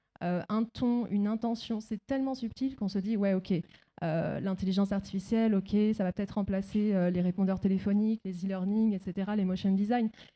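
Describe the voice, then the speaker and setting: With fairly even intonation, a woman speaks at a medium pitch in a dark, mellow tone, recorded very cleanly against a silent background with a dry, close sound and no echo. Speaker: audience member, voice-over artist. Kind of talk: audience question.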